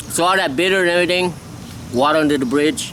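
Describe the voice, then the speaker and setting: A man with a Lao accent over noticeable background noise. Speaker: skateboarding vlogger. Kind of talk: casual vlog monologue. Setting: outdoors. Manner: halting.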